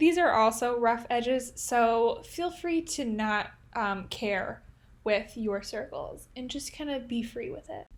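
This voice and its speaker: A woman's high voice with a Midwestern accent, lively intonation and big swings in loudness, on a very clean recording with a silent background. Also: fairly slow pace. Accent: Midwestern, nasal. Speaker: art tutorial creator. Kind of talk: tutorial. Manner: casual, chatty.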